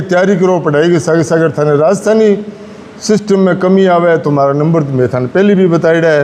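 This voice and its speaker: Over noticeable background noise, a man talks with fairly high pitch and ordinary pitch variation. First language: Rajasthani (speaking Hindi). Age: 60s. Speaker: journalist and Rajasthani language advocate. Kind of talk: speech to students.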